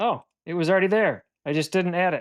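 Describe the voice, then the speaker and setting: Mumbling, a man with a high pitch speaks in a dry, close sound with no echo. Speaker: live stream co-host. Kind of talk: casual chat on live stream.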